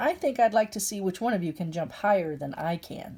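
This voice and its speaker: A put-on character voice, female-sounding, at a medium pitch for a woman and a fairly quick pace, on a very clean recording with a silent background. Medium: read story.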